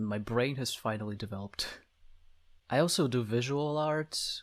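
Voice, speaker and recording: In a very clean recording with a silent background, a man with a Slavic accent speaks at a medium pitch. His pace is fairly slow. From Slavic country. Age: 20s. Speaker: VTuber. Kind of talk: self-introduction monologue.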